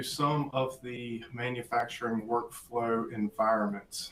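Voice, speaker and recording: At a fairly slow pace, a man speaks with a slight Southern US accent. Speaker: applications engineer presenter. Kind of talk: webinar presentation.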